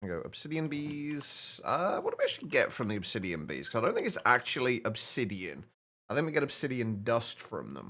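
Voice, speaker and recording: A man with a British accent at a fairly quick pace. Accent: stereotypical British. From Britain. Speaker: gaming streamer. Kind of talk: live game stream chat. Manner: halting, repeats words.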